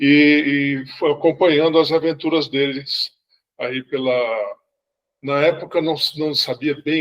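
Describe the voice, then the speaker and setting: This man talks at a fairly slow pace in a fairly high voice. His intonation is monotone and flat. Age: 60s. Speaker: sci-fi fan club member. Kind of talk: casual chat. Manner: halting, many repetitions.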